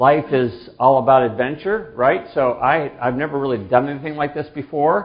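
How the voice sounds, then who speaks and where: A man talks with hardly any pauses, his pitch fairly high with ordinary variation. Audible room echo surrounds his voice. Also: moderate pace. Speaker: pastor teaching a church class. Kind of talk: class lecture. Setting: room with live audience. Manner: loud; hesitant, many fillers.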